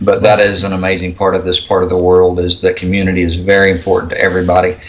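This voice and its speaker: A man with an American accent talks at a very fast pace in a very deep, low pitch. His intonation is monotone and flat, with noticeable background noise behind him. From Oklahoma. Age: 40s. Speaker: homesteader. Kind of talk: casual chat.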